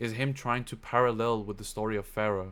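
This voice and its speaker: A man at a medium pitch speaks at a very fast pace with fairly even intonation. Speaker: online presenter giving religious history talk. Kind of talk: lecture. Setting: live online stream with screen share.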